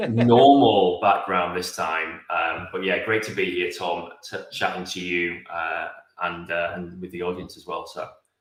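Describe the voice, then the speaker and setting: A man with a British accent talks with hardly any pauses and big swings in loudness. Room echo is audible. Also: fairly slow pace. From England. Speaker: automation consultant. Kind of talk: interview.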